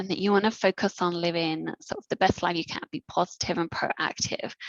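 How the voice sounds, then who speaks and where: A woman talks at a moderate pace with vocal fry, recorded with a dry, close sound and no echo. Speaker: neuro physiotherapist. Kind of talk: educational workshop presentation.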